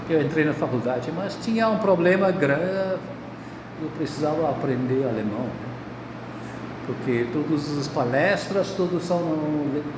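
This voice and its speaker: Through audible room echo and noticeable background noise, a man speaks at a fairly slow pace with long, frequent pauses. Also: fairly high pitch for a man, ordinary pitch variation. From India, Bangalore. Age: 70s. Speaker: physics professor. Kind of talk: interview, life story. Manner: halting.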